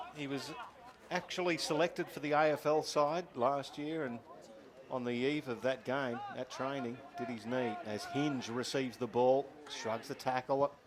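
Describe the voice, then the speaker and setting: A man's fairly slow delivery, with fairly even intonation, comes through noticeable background noise. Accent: Australian. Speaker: football commentator. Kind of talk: live commentary. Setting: commentary box at ground.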